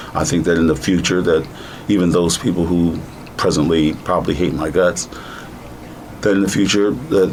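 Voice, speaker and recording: With an American accent, a man talks at a moderate pace in a very deep, low voice, with noticeable background noise behind him. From United States. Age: 60s. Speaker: plaintiff in a civil rights case. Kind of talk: interview.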